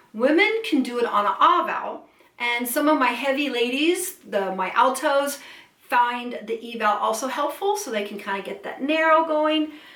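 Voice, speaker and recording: With noticeable background noise, a woman talks at a moderate pace in a high pitch, her voice making very wide pitch swings. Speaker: vocal coach. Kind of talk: vocal lesson, instructional talk to camera. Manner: clear, friendly, instructive.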